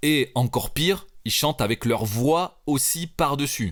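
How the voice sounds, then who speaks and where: A man talks with lively intonation. The background is silent and the recording very clean. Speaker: rapper and music producer. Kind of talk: tutorial. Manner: casual, hesitant with fillers.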